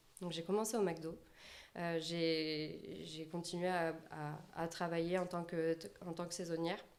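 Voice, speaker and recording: A woman speaking at a very slow pace, with audible room echo. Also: fairly low pitch for a woman. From southwest France, Landes. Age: 20s. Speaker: personal branding consultant. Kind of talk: podcast interview. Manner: halting, many fillers.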